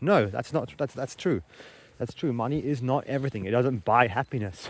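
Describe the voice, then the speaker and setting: A man speaks with an Australian accent. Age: 20s. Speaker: vlogger. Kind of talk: vlog monologue. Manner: halting.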